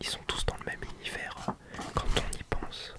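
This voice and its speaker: The voice is a whisper. Noticeable background noise sits behind it. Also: man. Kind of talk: ASMR book presentation, casual talk to camera. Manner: whispered, relaxing.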